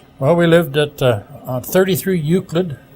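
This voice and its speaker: A man with a Canadian accent at a fairly slow pace, with ordinary pitch variation and noticeable background noise. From Ontario, Canada (Sault Ste. Marie). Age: 70s. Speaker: retired broadcaster. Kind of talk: interview. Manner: halting.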